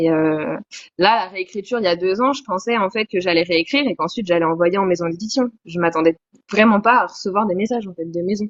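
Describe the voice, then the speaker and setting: A woman at a very fast pace, with a medium pitch and ordinary pitch variation. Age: 20s. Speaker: novelist. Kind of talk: interview.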